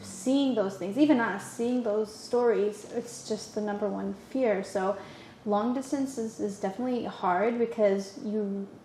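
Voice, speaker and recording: The speech moves at a fairly slow pace with fairly even intonation. Noticeable background noise can be heard. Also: woman, fairly high pitch for a woman. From Canada. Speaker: podcast guest. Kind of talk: casual chat. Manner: halting, many restarts.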